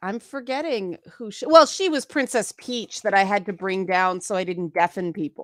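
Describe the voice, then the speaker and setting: A woman with a Canadian accent and an ordinary speaking voice talks at a moderate pace with hardly any pauses, her medium pitch moving in lively intonation, on a very clean recording with a silent background and a dry, close sound with no echo. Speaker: voice actor. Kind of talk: casual chat.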